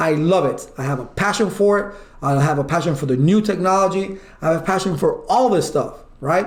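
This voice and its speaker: Loud and animated, the voice carries audible room echo. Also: man. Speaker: IT certification instructor. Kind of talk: online lecture.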